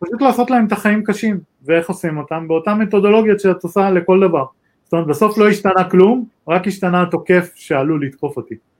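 A high-pitched man talks at a very fast pace with ordinary pitch variation. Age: 40s. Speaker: cybersecurity executive. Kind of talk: interview.

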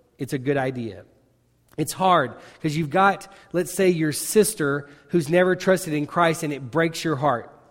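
Here a man speaks with a Southern US accent at a moderate pace. His pitch is fairly high, with ordinary variation. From Arkansas, small town. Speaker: missionary. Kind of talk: sermon. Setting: church with congregation.

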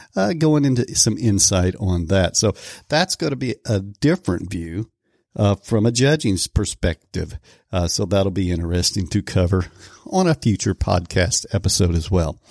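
With an American accent, a man talks at a moderate pace in a fairly low pitch, the sound dry and close with no echo on a very clean recording with a silent background. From Oklahoma. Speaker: podcast host and barbecue cook. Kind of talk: casual monologue. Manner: hesitant, frequent filler words.

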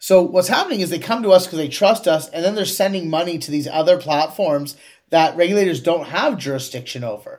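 Talking at a very fast pace, a man with a Canadian accent uses a high pitch and ordinary pitch variation. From Canada, Kingston, Ontario. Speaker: tech startup CEO. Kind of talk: interview.

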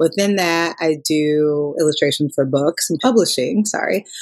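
Music plays in the background as a woman talks at a moderate pace. Her intonation is lively. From Minnesota, Minneapolis. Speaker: illustrator and author. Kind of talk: interview. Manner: casual with fillers.

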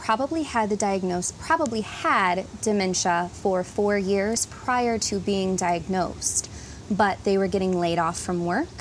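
Medium pitch from a woman amid noticeable background noise. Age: 30s. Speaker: speech language pathologist. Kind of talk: interview.

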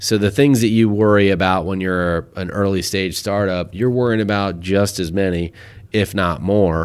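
The speaker has an unremarkable speaking voice, with fairly even intonation at a moderate pace. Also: man, fairly low pitch for a man. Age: 40s. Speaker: company founder and CEO. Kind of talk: casual chat.

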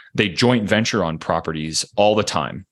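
A man speaks with an American accent at a moderate pace. His pitch varies in an ordinary way over a quiet background. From Pittsburgh, Pennsylvania. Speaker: real estate tech startup founder. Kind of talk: interview.

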